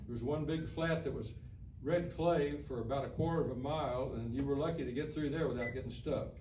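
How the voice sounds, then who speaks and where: Noticeable background noise and audible room echo surround a man whose fairly high voice keeps a fairly even intonation. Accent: American. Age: 80s+. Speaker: author and retired newspaperman. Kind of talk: talk to a historical society audience. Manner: halting, repeats words.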